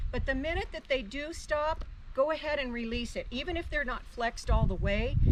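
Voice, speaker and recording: A woman talks at a fairly quick pace in a high voice with lively intonation. Audible room echo and noticeable background noise are present. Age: 70s. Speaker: horse trainer. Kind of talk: tutorial.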